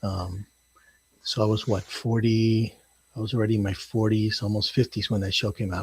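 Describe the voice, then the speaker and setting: A man with a fairly low pitch and a somewhat breathy voice talks at a moderate pace in a monotone, flat intonation. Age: 60s. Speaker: first-time novelist. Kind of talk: interview. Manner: halting, many fillers.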